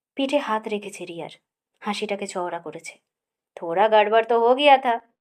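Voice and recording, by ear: Against a quiet background, a text is read aloud in a natural voice.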